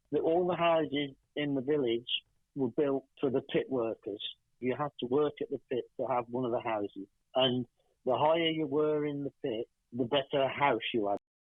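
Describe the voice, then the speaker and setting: In a West Midlands accent, a man talks at a moderate pace. His pitch is fairly high with ordinary variation. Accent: English Midlands (Coventry). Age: 60s. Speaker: filmmaker's father. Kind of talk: interview.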